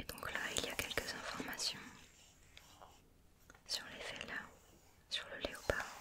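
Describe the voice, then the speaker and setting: Her words come in a whisper, very slowly. Long pauses break them up often. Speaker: ASMR creator. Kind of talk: ASMR magazine page flipping. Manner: whispered; slow, soft-spoken. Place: home room.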